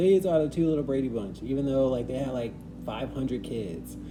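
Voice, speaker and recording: Music plays in the background and the room echo is audible. A man speaks at a moderate pace. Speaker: tarot reader. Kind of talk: tarot reading intro.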